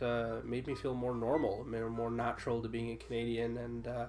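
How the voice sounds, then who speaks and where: Music plays in the background as a man with a medium pitch talks amid audible room echo. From immigrant to Canada as a child. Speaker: gaming channel member. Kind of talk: casual chat. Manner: hesitant, many uh fillers.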